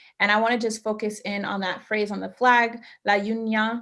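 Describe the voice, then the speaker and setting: A woman with an American accent speaks with monotone, flat intonation. The recording is very clean, with a silent background. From New York, Brooklyn. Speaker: doctoral student presenter on mental health. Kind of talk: workshop presentation.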